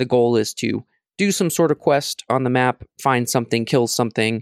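In a normal speaking voice, a man talks at a moderate pace and medium pitch, in a very clean recording with a silent background and a dry, close sound with no echo. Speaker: video game podcast co-host. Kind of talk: casual chat.

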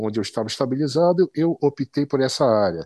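A man with a dark, mellow tone and lively intonation is heard in a dry, close sound with no echo. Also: quiet background. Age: 50s. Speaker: physical education professional. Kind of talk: interview. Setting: online call.

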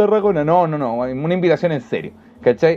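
With a Chilean accent, the speaker talks at a very fast pace with lively intonation. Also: man. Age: 20s. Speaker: stand-up comedian. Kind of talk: casual chat. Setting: studio.

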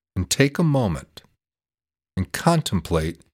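A man's calm, soothing tone with very wide pitch swings, dry and close with no echo, on a very clean recording with a silent background. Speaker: meditation podcast host. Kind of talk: guided meditation with slow visualization cues for breathing in suffering. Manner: slow, calm, soothing pacing with deliberate repetitions; gentle, warm instructional tone inviting the listener.

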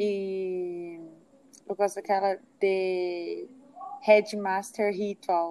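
A woman at medium pitch speaks at a very slow pace in a monotone, flat intonation, with long, frequent pauses. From Minas Gerais, Uberaba. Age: 20s. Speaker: podcast host. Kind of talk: casual chat.

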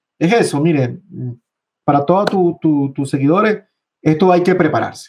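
A man's normal speaking voice, fairly high-pitched and fairly slow, with ordinary pitch variation and very even loudness. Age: 40s. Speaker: trader. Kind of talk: interview.

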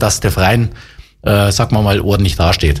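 A man is speaking. He keeps a moderate pace. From Upper Bavaria, Germany. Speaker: former football player and coach. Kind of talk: interview. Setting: studio. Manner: hesitant, many fillers.

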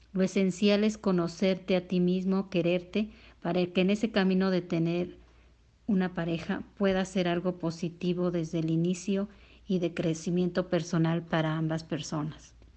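A woman speaks in a fairly low, monotone voice with flat intonation. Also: moderate pace, very even loudness. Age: 40s. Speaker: interviewee. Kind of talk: testimony.

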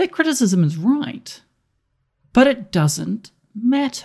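A woman speaks with a New Zealand accent. Her pitch swings very widely. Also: very clean recording, silent background. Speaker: politics lecturer and podcaster. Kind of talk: scripted review segment.

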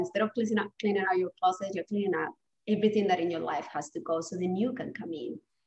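A woman with a Spanish accent talks at a very fast pace, her medium pitch moving with ordinary variation. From Spain. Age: 40s. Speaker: divorce coach. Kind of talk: interview conversation.

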